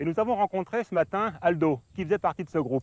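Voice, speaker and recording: A man at a fairly quick pace in a dry, close sound with no echo. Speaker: naturalist. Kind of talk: nature documentary narration.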